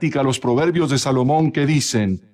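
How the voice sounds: A natural reading voice carries ordinary pitch variation from start to finish.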